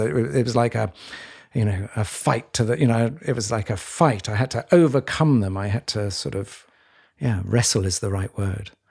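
In a very clean recording with a silent background, a man with a medium pitch and a plain, everyday voice speaks at a moderate pace with ordinary pitch variation. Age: 60s. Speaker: podcast co-host. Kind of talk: reflective conversation.

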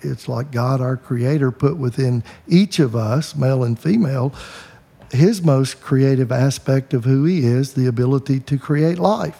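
A man with an American accent, medium in pitch, with a somewhat breathy, dark, mellow tone. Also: ordinary pitch variation, moderate pace. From US South. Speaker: podcast host and counselor. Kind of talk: casual interview. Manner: halting, many fillers.

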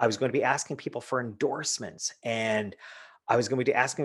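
A man's medium-pitched, ordinary speaking voice at a fairly quick pace over a quiet background. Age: 50s. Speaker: business author and speaker. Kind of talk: interview.

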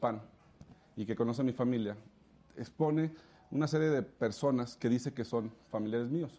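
With a dark, mellow tone, a man speaks at a moderate pace and a medium pitch. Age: 30s. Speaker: politician. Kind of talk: interview.

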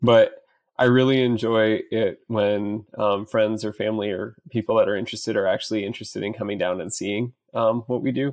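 An unremarkable speaking voice talks at a fairly quick pace with an American accent. The intonation is fairly even. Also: man, medium pitch for a man. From central Iowa. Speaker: EMS worker. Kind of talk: casual chat.

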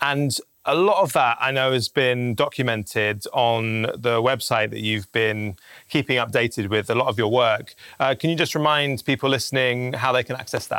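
A man speaks in a bright, sharp tone. His pitch is medium, with ordinary variation. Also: moderate pace. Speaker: podcast host. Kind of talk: interview.

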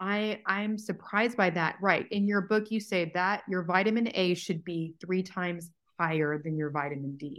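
At a moderate pace and with hardly any pauses, a woman talks in an ordinary speaking voice at a medium pitch with ordinary pitch variation against a quiet background. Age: 40s. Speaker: podcast host and nutritionist. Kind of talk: podcast intro and consultation. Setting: video call.

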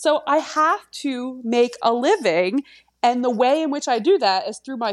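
Speech in a Philadelphia accent comes at a fairly slow pace with very wide pitch swings. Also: woman. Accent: Philadelphia-area American. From US, Delaware County, Pennsylvania (Philadelphia area). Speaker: fashion brand founder. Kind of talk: casual interview conversation.

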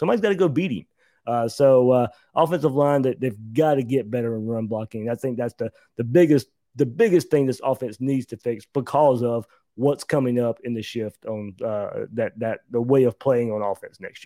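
On a very clean recording with a silent background and a dry, close sound with no echo, a man with an American accent talks at medium pitch and a moderate pace, his tone dark and mellow, with ordinary pitch variation. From US South (Georgia). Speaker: college football analyst. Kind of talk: casual sports talk.

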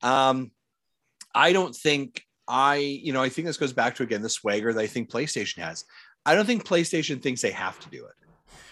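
At a moderate pace and medium pitch, a man talks with lively intonation, a bright, sharp tone and big swings in loudness. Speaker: guest, gaming content creator. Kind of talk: casual chat.

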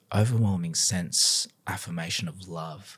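A man with an Australian accent speaks at a fairly slow pace in a fairly low pitch, on a very clean recording with a silent background. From Sydney, Australia. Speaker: business professor and pastor. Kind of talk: testimony.

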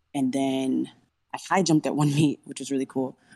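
Delivered at a fairly quick pace, the speech has fairly even intonation and an American accent. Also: woman. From Rio Grande Valley, Texas. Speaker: discus thrower athlete. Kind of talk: casual interview chat.

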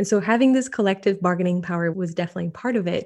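In a French accent, a woman speaks with a dark, mellow tone and ordinary pitch variation. The background is quiet. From France. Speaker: disinformation researcher. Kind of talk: interview.

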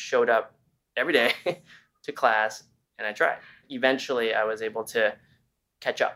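A man with a fairly bright tone.

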